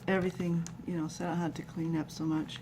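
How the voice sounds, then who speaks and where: A woman mumbles in a soft-spoken way. Her voice is somewhat breathy. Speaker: craft tutorial maker. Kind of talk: tutorial. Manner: soft-spoken, mumbling; hesitant with many fillers.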